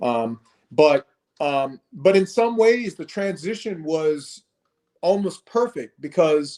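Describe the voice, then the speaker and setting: A man with a dark, mellow tone speaks at a high pitch. He goes at a very slow pace with lively intonation. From South Korea, then Lawton, Oklahoma from age 8. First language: Korean. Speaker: fitness founder and author. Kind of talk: interview testimony. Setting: Facebook Live video stream. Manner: hesitant, many fillers.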